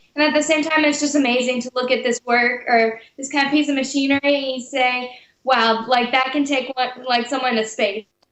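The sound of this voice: Fairly quick and high-pitched, a woman with an American accent uses fairly even intonation and a fairly bright tone.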